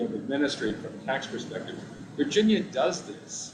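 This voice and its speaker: A man talks loudly at a fairly quick pace, his pitch fairly high. Noticeable background noise and audible room echo fill the recording. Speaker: tax commission member. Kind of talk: committee meeting discussion.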